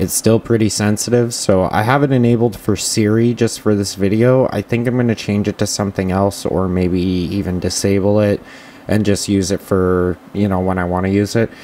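A man with a plain, everyday voice talks at a moderate pace, his intonation fairly even and his loudness very even, over light background noise. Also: fairly low pitch for a man. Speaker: tech reviewer. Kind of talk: tutorial. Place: home room. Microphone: camera far.

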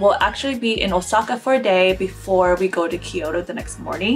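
A woman at a moderate pace, ordinary pitch variation, clear music playing behind her. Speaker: travel vlogger. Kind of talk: casual talk to camera. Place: home room.

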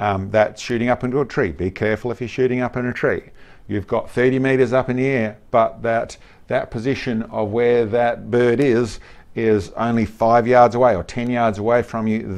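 His pace is moderate. The man's intonation is fairly even. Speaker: shooting instructor. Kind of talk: tutorial. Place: studio.

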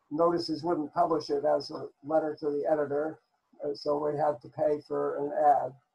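This man's voice is fairly high in pitch, with a dark, mellow tone. His intonation stays monotone and flat. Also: moderate pace. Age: 90s. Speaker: mathematician. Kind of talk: speech. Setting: video call. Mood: warm, reflective. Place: home room. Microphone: video call.

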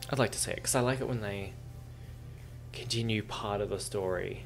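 With faint music in the background, a man speaks at a fairly quick pace and a fairly low pitch with ordinary pitch variation. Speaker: reaction video host. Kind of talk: casual commentary on a TV episode. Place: home room. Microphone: headset.

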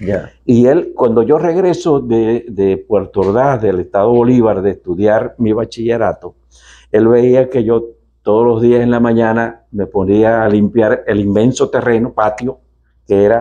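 A man's dark, mellow voice at medium pitch, fairly slow, with ordinary pitch variation and a quiet background. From Venezuela, Maracaibo; Venezuela. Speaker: company executive; interviewee. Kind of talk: TV interview. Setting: on location at company headquarters. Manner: halting, many fillers and repetitions. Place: office. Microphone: lapel.

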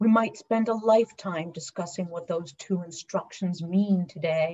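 Against a quiet background, a woman speaks at a fairly slow pace in a somewhat breathy voice. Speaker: deacon giving a sermon. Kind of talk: church sermon delivered to a congregation. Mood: earnest, solemn. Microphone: webcam.

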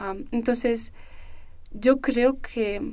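A woman speaks at a fairly high pitch. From Spain (Canary Islands) and England. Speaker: university student. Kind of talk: interview conversation. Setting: studio.

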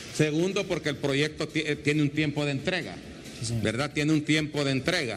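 A man with a fairly high voice, moderate pace and ordinary pitch variation, over light background noise. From Honduras, Comayagua; Honduras. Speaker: TV news reporter; TV host presenter. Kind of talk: on-location interview. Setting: on location at an airport. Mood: enthusiastic, grateful. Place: station. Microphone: handheld.

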